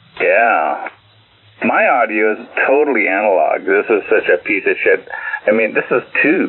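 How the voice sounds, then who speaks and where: Noticeable background noise behind a man's moderately paced speech. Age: 60s. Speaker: ham radio operator. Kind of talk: casual chat.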